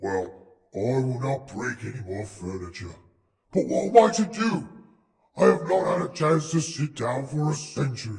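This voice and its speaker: A man puts on a character voice at medium pitch with very wide pitch swings. He keeps a moderate pace, and there is a slight echo. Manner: sorrowful.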